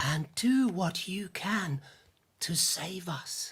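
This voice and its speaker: Using a put-on character voice, a man speaks at a very slow pace and a high pitch. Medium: stage play.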